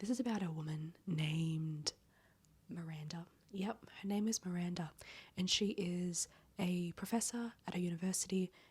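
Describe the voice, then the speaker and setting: Whispering at a moderate pace, a soft-spoken woman sounds somewhat breathy. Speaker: book vlogger. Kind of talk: casual reading vlog. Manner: soft, near-whispering; animated.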